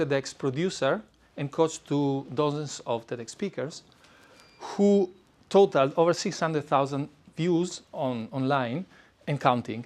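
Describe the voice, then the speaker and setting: At a fairly slow pace, a man with an Italian accent talks at a fairly high pitch with ordinary pitch variation. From Italy. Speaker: public speaking coach. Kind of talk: presentation. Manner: hesitant with fillers.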